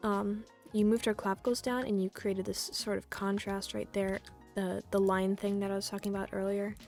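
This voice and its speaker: A woman talks at a medium pitch and fairly quick pace in a monotone, flat intonation. Music plays in the background. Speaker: 3D artist giving art critique. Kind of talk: casual screen-recorded commentary. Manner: hesitant, stuttering, many fillers.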